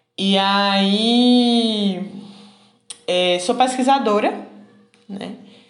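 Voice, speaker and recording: A woman speaks with fairly even intonation in a room with audible echo. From Pernambuco, Brazil (Garanhuns and Recife). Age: 30s. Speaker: social scientist and researcher. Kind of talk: interview. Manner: halting, with many fillers.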